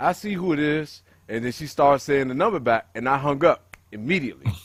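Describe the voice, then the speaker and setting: With an unremarkable speaking voice, a man talks at a fairly quick pace in a fairly high pitch, his intonation lively. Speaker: podcast co-host. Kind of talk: casual chat.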